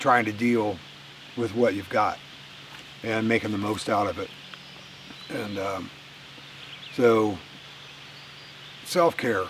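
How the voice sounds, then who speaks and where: A man with a fairly low pitch speaks at a very slow pace, leaving long, frequent pauses. His intonation stays fairly even over noticeable background noise. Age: 60s. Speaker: outdoor vlogger. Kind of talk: casual vlog monologue. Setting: outdoors in the woods. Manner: halting, with many fillers.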